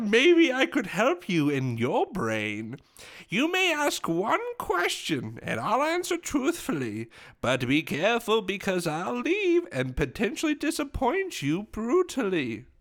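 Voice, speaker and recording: In a put-on character voice, a man speaks at a fairly slow pace, high-pitched and sing-song. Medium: actual play. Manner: cryptic, rhyming, singsong.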